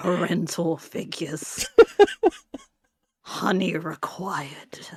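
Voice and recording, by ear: A raspy, put-on character voice from a woman, fairly low in pitch, at a very slow pace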